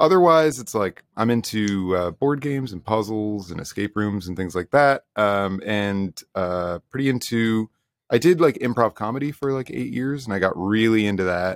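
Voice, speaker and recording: This man has an unremarkable speaking voice with an American accent and a fairly low pitch. He talks at a moderate pace with lively intonation and hardly any pauses. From United States. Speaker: indie soul musician. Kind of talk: interview.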